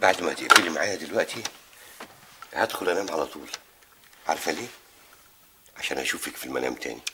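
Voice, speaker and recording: A man's very deep, low voice at a fairly quick pace, with big swings in loudness and noticeable background noise. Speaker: drama actor playing a husband on the phone. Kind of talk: acted phone conversation. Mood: flirtatious, secretive, amused. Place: home room. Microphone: camera far.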